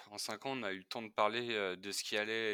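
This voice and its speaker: The man's voice is fairly low in pitch with a bright, sharp tone. He speaks at a moderate pace. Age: 20s. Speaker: physiotherapist. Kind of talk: testimony. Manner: hesitant.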